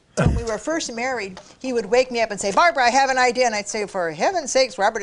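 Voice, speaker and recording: Over noticeable background noise, a woman with an American accent talks at a very fast pace with lively intonation. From San Diego, California. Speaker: activist, wife of a guest. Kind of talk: interview. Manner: animated.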